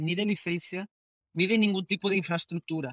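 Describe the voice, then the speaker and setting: A man with a Spanish accent, high-pitched and bright and sharp in tone, at a fairly quick pace with fairly even intonation, on a very clean recording with a silent background and a dry, close sound with no echo. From Spain. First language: Spanish (speaking Portuguese). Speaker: fintech executive. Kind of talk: interview. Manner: halting, repeats words.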